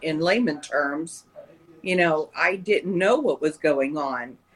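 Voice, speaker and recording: With an American accent, a woman speaks fairly slowly in a fairly low voice against noticeable background noise. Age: 50s. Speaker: patient. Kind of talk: interview. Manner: halting.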